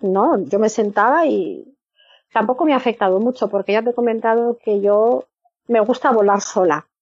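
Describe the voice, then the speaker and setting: With a plain, everyday voice, a woman speaks at a moderate pace, her fairly high pitch carrying lively intonation. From northern Spain. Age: 50s. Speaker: former church member. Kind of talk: interview.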